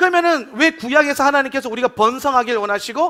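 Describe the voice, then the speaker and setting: A man projects a raised voice with a bright, sharp tone. His pitch is extremely high and swings very widely. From Gyeongsang region, South Korea. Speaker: pastor. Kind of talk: sermon.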